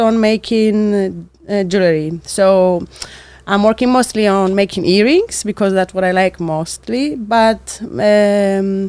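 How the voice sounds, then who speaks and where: A woman's medium-pitched voice with a Cypriot accent, ordinary pitch variation and a fairly slow pace. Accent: Greek Cypriot accent in English. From Cyprus. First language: Greek. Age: 20s. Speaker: architect and small business owner. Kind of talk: interview monologue. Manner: hesitant, with fillers.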